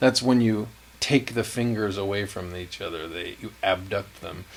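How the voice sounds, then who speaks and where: A man with an ordinary speaking voice talks at a moderate pace, his fairly low pitch carried by lively intonation. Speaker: guitar teacher. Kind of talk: tutorial. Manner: relaxed, conversational.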